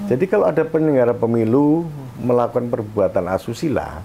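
This man's voice sits at a medium pitch and races along at a very fast pace. His pitch swings very widely over noticeable background noise. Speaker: election ethics council chair, former journalist. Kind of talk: radio interview. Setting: guest's office. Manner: halting.

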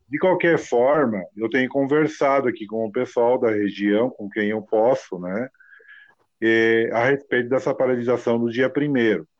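In an unremarkable speaking voice, a man talks at a fairly slow pace, medium in pitch with ordinary pitch variation. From Novo Hamburgo, southern Brazil. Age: 50s. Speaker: ride-hailing driver, mechanic. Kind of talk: casual interview.

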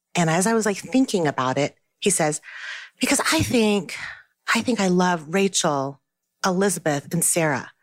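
In a very clean recording with a silent background, a woman with a fairly low pitch and lively intonation speaks at a moderate pace with very even loudness. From Taiwan, raised in US (Albuquerque). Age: 40s. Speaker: author. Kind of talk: casual chat. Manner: animated.

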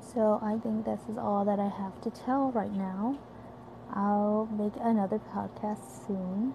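In a Korean accent, a woman speaks at a very slow pace in a fairly high pitch, her intonation monotone and flat. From South Korea, Busan. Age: 20s. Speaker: university student and amateur podcaster. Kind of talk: casual monologue.

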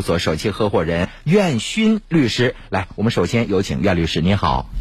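A man's voice with very wide pitch swings. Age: 40s. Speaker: radio host. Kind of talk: radio interview; radio announcements. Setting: studio.

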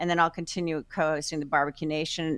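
The speaker has an American accent and fairly even intonation. The background is quiet. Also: woman. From New Jersey. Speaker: champion pitmaster. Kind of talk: casual chat.

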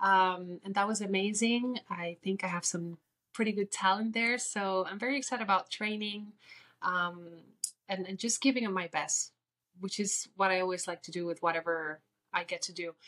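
In a Spanish accent, a woman speaks at a medium pitch with a bright, sharp tone and fairly even intonation. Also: moderate pace. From Puerto Rico. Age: 30s. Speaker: beauty queen. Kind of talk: interview.

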